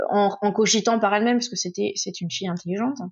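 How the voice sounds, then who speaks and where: Very fast talking from a woman with a medium-pitched voice. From Touraine, France. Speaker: sexology specialist. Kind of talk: casual interview.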